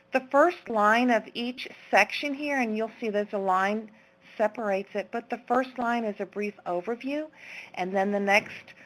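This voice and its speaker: A woman's unremarkable speaking voice, fairly high in pitch, with ordinary variation and a moderate pace. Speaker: teacher presenting a resource. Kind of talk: webinar presentation. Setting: online webinar.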